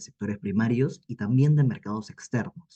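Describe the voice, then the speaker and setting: Moderate-paced speech from a man, dark and mellow in tone, with ordinary pitch variation. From Peru, Ica. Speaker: university student. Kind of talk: formal question. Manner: formal.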